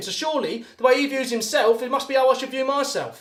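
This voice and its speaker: Loud and animated, a man with a British accent talks very fast at an extremely high pitch. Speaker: motivational speaker. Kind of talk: motivational talk. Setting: live video call.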